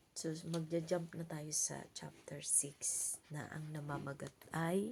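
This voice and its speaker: A soft-spoken, somewhat breathy voice talks at a very slow pace. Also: woman. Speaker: vlogger giving Bible reflections. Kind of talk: Bible reading and casual reflection. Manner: halting.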